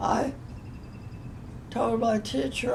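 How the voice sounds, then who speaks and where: Noticeable background noise sits under the recording. A woman talks over it. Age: 80s+. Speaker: modern dancer. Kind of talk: interview answer.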